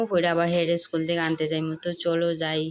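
A woman's fairly low-pitched voice. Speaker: village lifestyle vlogger and mother. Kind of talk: casual vlog narration.

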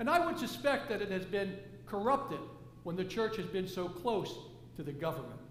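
A fairly bright tone at a moderate pace, big pitch swings and audible room echo. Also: man, high pitch for a man.

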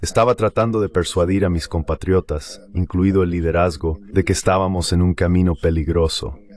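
At a moderate pace, a man speaks at a very deep, low pitch. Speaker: foreign policy expert. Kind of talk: interview. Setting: video call.

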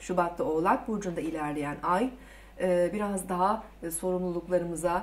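Here a woman is speaking. Her pace is fairly slow. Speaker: presenter. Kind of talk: forecast commentary to camera. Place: studio.

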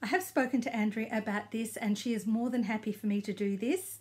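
Speaking fairly quickly with an Australian accent, a woman uses a fairly high, somewhat breathy voice. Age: 60s. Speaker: knitting vlogger. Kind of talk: casual video blog. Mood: warm, friendly. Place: home room. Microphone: phone near.

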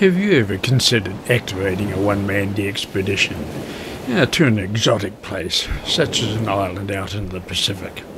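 Fairly even intonation comes at a moderate pace over noticeable background noise. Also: man, fairly low pitch for a man. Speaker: ham radio hobbyist. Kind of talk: casual vlog chat. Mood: friendly, relaxed.

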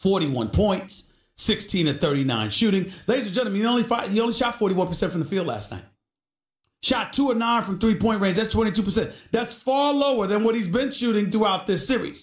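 In a room with audible echo but a quiet background, a man speaks at a moderate pace with a high pitch and ordinary pitch variation. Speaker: sports talk show host. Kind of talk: commentary. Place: studio.

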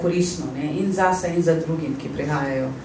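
A woman with an Arabic accent speaks at a fairly low pitch. Light background noise and audible room echo are present. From Iraq, Baghdad; Iraq. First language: Arabic (speaking Slovenian). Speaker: refugee and translator; public guest. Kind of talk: interview testimony. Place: hall.

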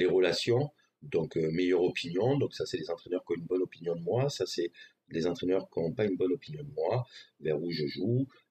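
A man speaks at a fairly quick pace with a very deep, low pitch and lively intonation. His voice is dark, mellow, and somewhat breathy, with light background noise. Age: 40s. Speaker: gaming streamer. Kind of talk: tutorial. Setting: live stream. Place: home room.

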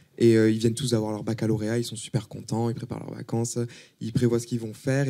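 Faint music plays behind a man who talks at a very fast pace in a flat monotone. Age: 20s. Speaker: author and art student. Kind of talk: casual interview. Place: studio. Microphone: handheld.

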